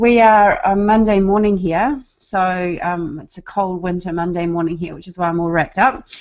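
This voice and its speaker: This woman speaks with a New Zealand accent. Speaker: online marketer, former nurse. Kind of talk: casual group video chat.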